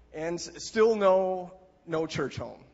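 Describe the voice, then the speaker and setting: A man with an Upper Midwest accent. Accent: Upper Midwest American. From Wisconsin, small town. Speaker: church member giving testimony. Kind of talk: testimony.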